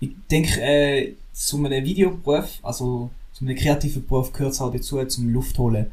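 Audible room echo surrounds a man whose somewhat breathy, fairly high voice moves at a moderate pace with fairly even intonation. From Switzerland, St. Gallen. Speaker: drone videographer. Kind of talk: casual chat.

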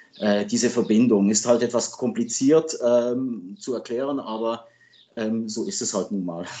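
The speaker has a French accent and ordinary pitch variation. The pace is fairly slow. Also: man, medium pitch for a man. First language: French (speaking German). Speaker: hockey journalist and sports agent. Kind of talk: interview. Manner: hesitant with fillers.

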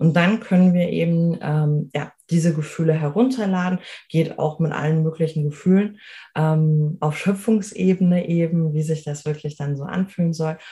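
The voice has a dark, mellow tone and sounds somewhat breathy. It moves at a moderate pace with fairly even intonation. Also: woman, fairly low pitch for a woman. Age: 30s. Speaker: life coach. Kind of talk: interview.

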